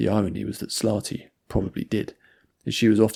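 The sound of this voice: An unforced reading voice is heard, and the background stays quiet.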